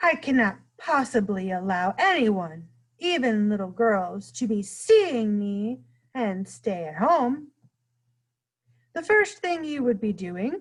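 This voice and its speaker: In a put-on character voice, a woman speaks at a fairly high pitch. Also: fairly slow pace. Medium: read story. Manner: mangled grammar, playful made-up words.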